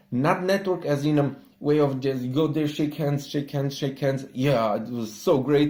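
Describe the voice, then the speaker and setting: A man with a Romanian accent and a fairly high pitch talks at a moderate pace in a dark, mellow tone. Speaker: entrepreneur. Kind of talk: casual talk to camera.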